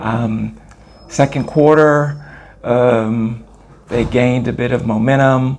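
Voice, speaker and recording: Speaking very slowly with long, frequent pauses, a man with a Californian accent keeps his intonation fairly even. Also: medium pitch for a man. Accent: American, California. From Los Angeles, California. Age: 60s. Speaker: former professional basketball player. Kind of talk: interview. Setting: on location at a tournament in Italy.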